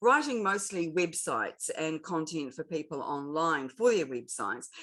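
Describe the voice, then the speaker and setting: With a New Zealand accent, a woman speaks at a moderate pace in a fairly low voice with lively intonation against a quiet background. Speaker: LinkedIn expert and author. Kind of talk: interview.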